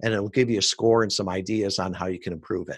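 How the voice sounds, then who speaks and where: A man with an American accent speaks fairly fast on a very clean recording with a silent background. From US Midwest, Chicago suburbs. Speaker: podcast marketing entrepreneur, Navy veteran. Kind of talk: podcast interview.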